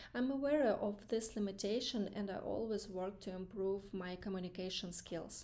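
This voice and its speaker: With a non-native accent, a woman talks at a fairly slow pace in a medium-pitched voice with a dark, mellow tone. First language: not English. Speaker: student practicing job interview answers. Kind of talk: mock interview answers. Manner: halting, many fillers.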